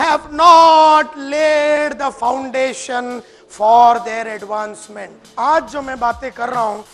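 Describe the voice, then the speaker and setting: The pace is very slow as a man talks with ordinary variation in pitch. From India. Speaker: motivational speaker. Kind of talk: motivational seminar talk. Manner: fiery. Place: hall. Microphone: lapel.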